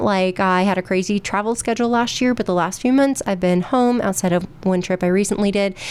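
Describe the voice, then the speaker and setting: Her pitch is medium and her delivery comes at a moderate pace. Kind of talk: casual radio show monologue. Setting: studio.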